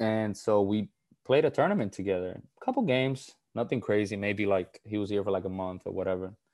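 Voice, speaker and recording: A man's fairly low-pitched voice in a Puerto Rican accent, with ordinary pitch variation and a fairly quick pace over a quiet background. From Puerto Rico. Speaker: former college basketball player. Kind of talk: casual interview.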